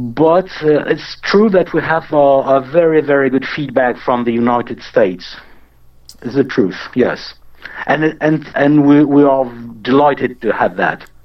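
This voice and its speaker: A man's fairly high voice at a fairly slow pace, with ordinary pitch variation and a French accent. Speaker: musician. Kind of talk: casual interview. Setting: remote call. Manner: halting.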